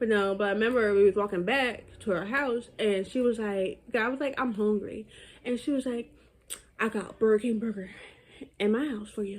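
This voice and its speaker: A woman speaks at a moderate pace in a fairly high pitch. Her intonation stays fairly even, broken by long, frequent pauses. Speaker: YouTuber. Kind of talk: storytime vlog. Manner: casual, filler-heavy.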